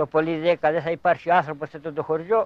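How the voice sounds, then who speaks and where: Here is a man with a Cretan accent. His voice is high in pitch. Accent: Cretan Greek. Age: 70s. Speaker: elderly villager. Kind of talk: documentary interview.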